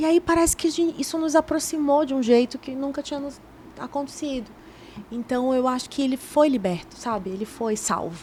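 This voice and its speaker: Lively intonation at a moderate pace. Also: woman, high pitch for a woman. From Brazil, Belém do Pará. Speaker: journalist and TV presenter. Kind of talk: casual interview chat. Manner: talkative.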